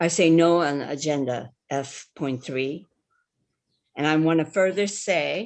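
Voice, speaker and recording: A woman's very deep, low voice with a Hawaiian accent, fairly slow, with ordinary pitch variation over a quiet background. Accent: Hawaii local English. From Hawaii, Big Island (Holualoa, West Hawaii). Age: 70s. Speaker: public testifier. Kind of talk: public testimony. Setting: video call.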